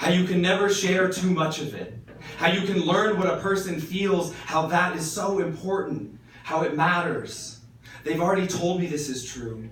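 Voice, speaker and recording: With noticeable background noise and audible room echo, a man speaks at a moderate pace. His voice is high, with ordinary pitch variation. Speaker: poet and high school English teacher. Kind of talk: slam poetry performance. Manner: impassioned.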